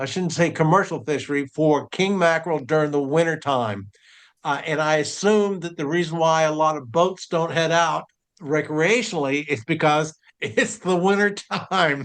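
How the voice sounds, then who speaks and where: A man with a normal speaking voice, a fairly high pitch, ordinary pitch variation and a moderate pace. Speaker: fishing show host. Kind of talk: interview question.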